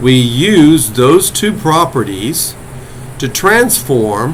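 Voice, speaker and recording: Lively intonation from a man at a medium pitch, with audible room echo and noticeable background noise. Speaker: college math instructor. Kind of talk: lecture. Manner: slow, deliberate.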